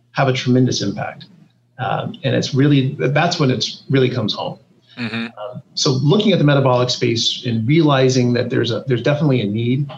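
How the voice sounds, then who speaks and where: A man talks at a fairly quick pace in a somewhat breathy, medium-pitched voice. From US West Coast (Silicon Valley, California). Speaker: biotech CEO. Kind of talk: interview.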